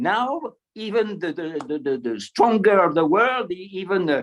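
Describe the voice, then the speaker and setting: A man with a French accent speaks in a high-pitched voice with lively intonation. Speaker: retired military officer. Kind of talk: panel talk. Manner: halting, many repetitions; enthusiastic. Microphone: poor signal.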